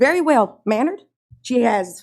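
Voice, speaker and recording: Her intonation is lively. The woman talks with an American accent. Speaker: parent speaking at public comment. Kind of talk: public comment at board meeting. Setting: school board meeting. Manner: fast.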